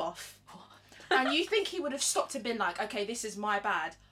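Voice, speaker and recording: Over noticeable background noise, a raised, projected voice makes very wide pitch swings. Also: woman. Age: 20s. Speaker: podcast co-host. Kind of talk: casual chat.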